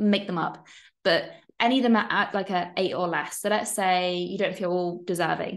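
A woman speaks against a quiet background. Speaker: online course coach. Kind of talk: casual, encouraging. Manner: fast talker. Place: home room. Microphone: webcam.

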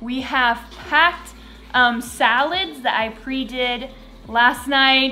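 A woman speaks at a very slow pace in a high voice. Faint music plays in the background. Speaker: family vlogger mother. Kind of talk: casual vlog chat. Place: home room. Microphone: phone near.

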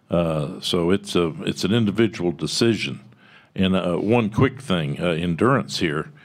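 With a Texan accent, a man speaks in a very deep, low voice and lively intonation against a quiet background. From Texas. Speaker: tech company founder; conference panelist. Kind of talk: panel discussion. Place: meeting room. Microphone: podium.

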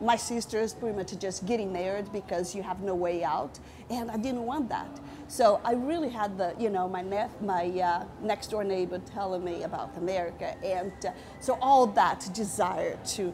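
Noticeable background noise accompanies a woman whose pitch varies in an ordinary way. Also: moderate pace. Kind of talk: interview answer. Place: cafe.

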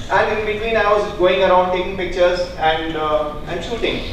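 With a high pitch, a man speaks at a moderate pace and fairly even intonation amid noticeable background noise and strong room echo. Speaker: speaker. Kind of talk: talk to an audience. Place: hall. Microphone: handheld.

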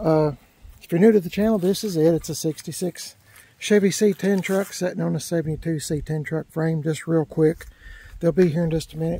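This man has a high pitch and a dark, mellow tone, speaking at a moderate pace with fairly even intonation in a dry recording with no echo. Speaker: car channel host. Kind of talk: casual vlog chat. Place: street. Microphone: phone near.

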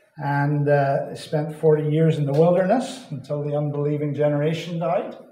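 Audible room echo fills the space. A man speaks at a moderate pace. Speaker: visiting Bible teacher. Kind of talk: sermon. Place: hall.

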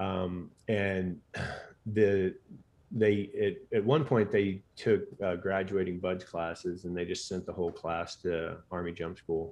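In an American accent, a man speaks with a very deep, low pitch. He goes at a very slow pace with fairly even intonation. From Texas, Katy near Houston; Texas. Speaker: physician and sleep expert, former Navy SEAL; interview guest. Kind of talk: casual interview chat. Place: home room. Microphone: studio mic.

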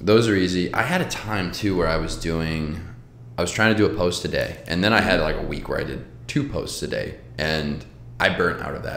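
A man with a very deep, low pitch and ordinary pitch variation talks at a fairly quick pace, yet with long, frequent pauses. Light background noise and audible room echo are present. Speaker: podcast host. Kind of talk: casual interview chat. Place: home room.

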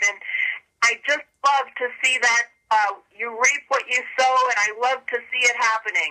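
Against a quiet background, a woman with a high pitch and a bright, sharp tone talks at a fairly slow pace with fairly even intonation. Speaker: prayer call participant. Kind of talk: casual chat on prayer call. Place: office. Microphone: webcam.

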